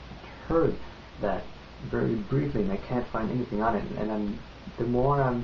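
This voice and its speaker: The speaker is a man. Room echo can be heard. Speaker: vlogger. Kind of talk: casual vlog monologue. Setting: home, recording on tripod. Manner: fast; halting, many fillers.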